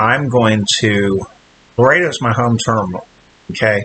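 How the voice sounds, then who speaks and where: A man's fairly low-pitched voice at a fairly slow pace, with ordinary pitch variation and noticeable background noise. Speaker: trucker vlogger. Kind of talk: casual vlog. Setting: hotel room. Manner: halting.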